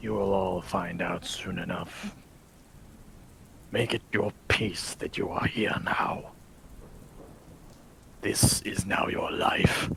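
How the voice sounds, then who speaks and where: Putting on a character voice, a man speaks in a raspy, fairly low tone at a very slow pace with long, frequent pauses over light background noise. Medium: actual play. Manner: solemn, cryptic.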